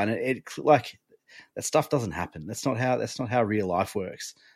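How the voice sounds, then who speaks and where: Here a man talks with an Australian accent. His pace is fairly quick, and the background is quiet. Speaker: sports podcast co-host. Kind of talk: casual chat.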